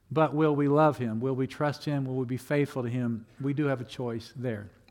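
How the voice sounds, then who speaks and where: With a plain, everyday voice, a man speaks at medium pitch and a moderate pace, his intonation fairly even. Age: 60s. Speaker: pastor. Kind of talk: sermon. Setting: church.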